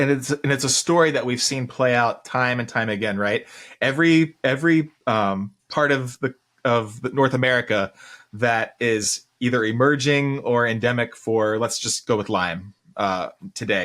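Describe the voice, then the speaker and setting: Heard in a very clean recording with a silent background, a man speaks at a medium pitch and moderate pace with ordinary pitch variation. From Ohio, US Midwest. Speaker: podcast host, veterinarian. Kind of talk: podcast interview. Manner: halting, with fillers and restarts.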